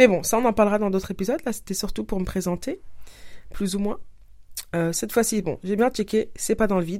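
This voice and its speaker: A woman with a dark, mellow tone and medium pitch talks at a fairly quick pace with long, frequent pauses, in a very clean recording with a silent background. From France, Paris. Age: 30s. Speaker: podcaster. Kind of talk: casual monologue.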